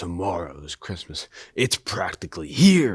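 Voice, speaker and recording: In a put-on character voice, a man growls at a very deep, low pitch and a fairly slow pace. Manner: snarling, sneering.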